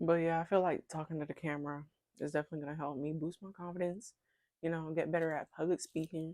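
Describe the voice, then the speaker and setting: A woman mumbles at a very fast pace in a dark, mellow tone, fairly low in pitch, with monotone, flat intonation. The recording is very clean with a silent background and a dry, close sound with no echo. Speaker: vlogger. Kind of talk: casual vlog monologue. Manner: tends to mumble, talks under breath; rambling, chatty.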